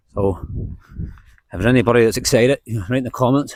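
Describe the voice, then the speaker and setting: A man talks with a Northern Irish accent at a fairly quick pace. His medium-pitched voice has ordinary pitch variation and sounds dry and close, with no echo. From Northern Ireland, County Antrim. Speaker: book vlogger. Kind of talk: casual vlog chat while walking. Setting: outdoors. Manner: casual, rambling.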